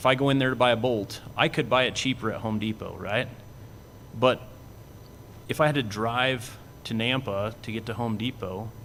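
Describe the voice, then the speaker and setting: Medium-pitched male voice with an American accent and fairly even intonation. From southeastern Washington. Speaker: cattle industry association executive. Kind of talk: panel presentation.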